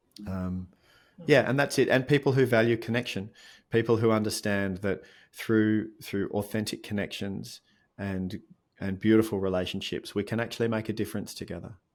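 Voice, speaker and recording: A man speaks with an Australian accent and a fairly low pitch. The recording is very clean, with a silent background. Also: fairly even intonation, moderate pace. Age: 50s. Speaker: mindfulness coach and author. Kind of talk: interview conversation.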